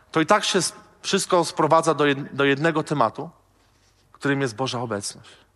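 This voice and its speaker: A man speaks at a fairly quick pace but with long, frequent pauses. His pitch is fairly high and varies in an ordinary way. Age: 30s. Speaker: pastor. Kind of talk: sermon.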